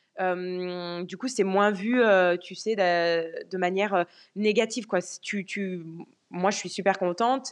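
Speaking very slowly at a medium pitch, a woman's loudness swings widely. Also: fairly even intonation, quiet background. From France. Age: 20s. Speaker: car sales professional. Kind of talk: casual interview chat. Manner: hesitant, many fillers.

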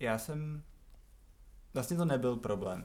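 This man has a normal speaking voice. He keeps a moderate pace with ordinary pitch variation. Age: 20s. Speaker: podcast guest, host's flatmate. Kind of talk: casual interview.

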